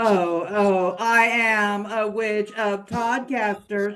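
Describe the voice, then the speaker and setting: A put-on character voice, female-sounding, at a medium pitch and a very slow pace. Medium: read story. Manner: haughty, sinister.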